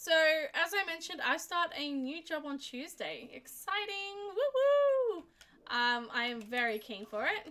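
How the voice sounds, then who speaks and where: A woman uses a raised, projected voice at an extremely high pitch. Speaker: streamer. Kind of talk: casual chat. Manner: halting.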